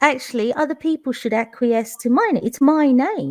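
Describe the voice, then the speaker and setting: Speaking with a London accent at a fairly slow pace, a woman uses lively intonation in a high pitch. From London, England. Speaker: teacher. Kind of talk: live online panel chat.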